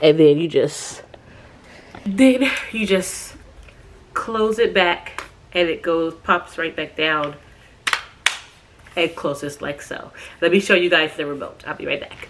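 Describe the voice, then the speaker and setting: The speaker talks at a fairly slow pace with long, frequent pauses and big swings in loudness. Pitch variation is ordinary, and there is noticeable background noise. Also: woman. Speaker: lifestyle vlogger. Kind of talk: product review vlog; casual vlog.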